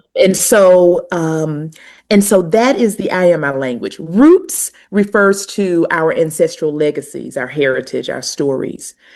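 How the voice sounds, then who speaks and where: A woman speaks with a strong Southern US accent and a fairly low voice. Her pace is fairly slow and her intonation lively. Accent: pronounced Southern US. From US South, North Carolina. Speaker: university administrator and language educator. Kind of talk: podcast interview.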